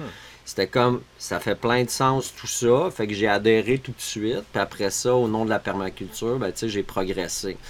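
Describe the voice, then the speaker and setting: The speaker has a Quebec accent. Pitch varies in an ordinary way. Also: man, medium pitch for a man. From Quebec, Montreal suburbs. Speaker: permaculture teacher and entrepreneur. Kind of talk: casual interview chat.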